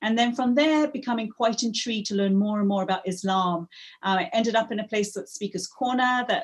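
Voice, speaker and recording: A woman's somewhat breathy voice. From Africa, moved to England at 13. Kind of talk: interview. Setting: video call.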